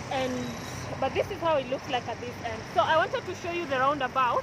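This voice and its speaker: Shouting loudly at a fairly quick pace with ordinary pitch variation, the speaker is heard over noticeable background noise. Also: woman. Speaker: vlogger. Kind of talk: walking vlog tour. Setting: outdoors on a busy street. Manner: loud, shouting over noise.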